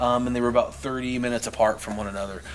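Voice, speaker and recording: Speech comes at a very fast pace over light background noise. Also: man. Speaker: paranormal investigator. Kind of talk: casual chat. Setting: outdoors.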